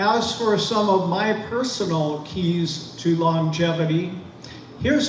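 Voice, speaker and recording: Pitched high, a man talks with ordinary pitch variation. Audible room echo and noticeable background noise surround him. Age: 60s. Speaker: YouTuber and business owner. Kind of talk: talk to camera. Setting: at his business, streamed to Facebook and YouTube.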